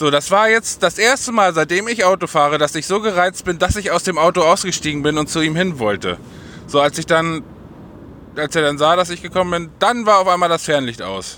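This man has an animated tone and a high pitch for a man. He speaks at a fairly quick pace with ordinary pitch variation. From northern Germany (Uelzen area). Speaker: podcaster and vlogger. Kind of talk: casual solo chat.

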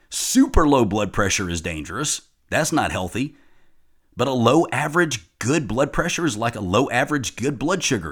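Vocal fry runs through a man's medium-pitched voice with very wide pitch swings. The recording is very clean, with a silent background. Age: 50s. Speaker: fitness and nutrition coach. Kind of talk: solo podcast monologue.

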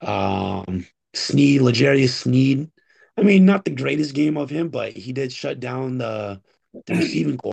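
A man speaks at a medium pitch with very wide pitch swings. He sounds somewhat breathy and goes at a fairly slow pace. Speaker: podcast co-host. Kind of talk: casual sports chat.

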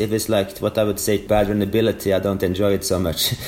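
In a Norwegian accent, a man speaks at a fairly low pitch. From Norway. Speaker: elite orienteer. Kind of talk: interview. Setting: remote call.

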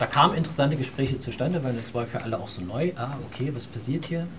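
Over noticeable background noise and audible room echo, a man of medium pitch talks at a very fast pace. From Saxony, Dresden. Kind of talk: panel talk.

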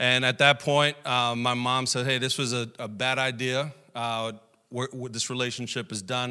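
Bright and sharp in tone, a man with a New York accent talks at a medium pitch and moderate pace in a monotone, flat intonation, in a very clean recording with a silent background. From Brooklyn, New York. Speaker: pastor. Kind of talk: sermon. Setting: church. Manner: humorous.

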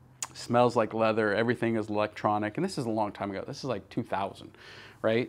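A man speaks with an American accent at a fairly quick pace. His is an ordinary speaking voice at medium pitch. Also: very clean recording, silent background. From Northern California, US. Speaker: company CEO and podcast host. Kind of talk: personal storytelling monologue. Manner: casual, with many fillers.

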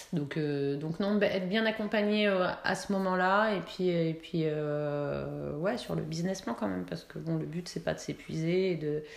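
With hardly any pauses, a woman with a fairly low voice and ordinary pitch variation talks through audible room echo and noticeable background noise. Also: fairly slow pace. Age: 40s. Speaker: entrepreneur, city guide creator. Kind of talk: interview. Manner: chatty; hesitant, many fillers.

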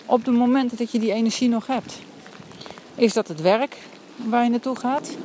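A woman with a high-pitched voice speaks at a moderate pace with fairly even intonation and long, frequent pauses, over noticeable background noise. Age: adult with a family. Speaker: coach with clients, podcaster. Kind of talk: walking monologue podcast. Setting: outdoors, walking in rainy forest.

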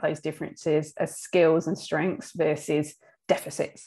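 With an Australian accent, a woman with a fairly low pitch and a dark, mellow tone talks at a moderate pace in a monotone, flat intonation. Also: quiet background. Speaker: business director and podcast host. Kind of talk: casual chat.

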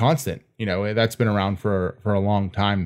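Against a silent background in a very clean recording, a man with a plain, everyday voice and a fairly low pitch speaks at a moderate pace. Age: 30s. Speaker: podcast co-host and furniture maker. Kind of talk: casual interview.

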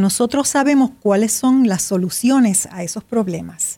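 Her pitch is high for a woman, with a dark, mellow tone. She speaks at a fairly slow pace with lively intonation. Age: 70s. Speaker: writer and meditation teacher. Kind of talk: interview.

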